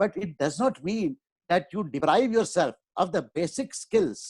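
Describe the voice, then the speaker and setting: The man's voice sits high in pitch. The sound is dry and close with no echo, on a very clean recording with a silent background. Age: 70s. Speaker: professor. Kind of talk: interview.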